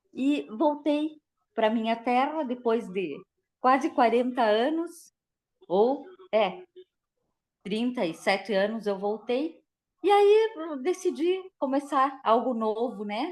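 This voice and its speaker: A woman at a high pitch speaks at a very slow pace, with very wide pitch swings and long, frequent pauses. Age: 60s. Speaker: dentist, course participant. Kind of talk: casual chat.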